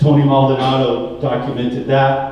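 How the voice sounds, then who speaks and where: A man with an American accent speaks at a medium pitch, with noticeable background noise and audible room echo. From California Central Valley, Tulare County. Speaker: political candidate, dairy farmer. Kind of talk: candidate forum speech. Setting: forum with audience, microphone. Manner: loud.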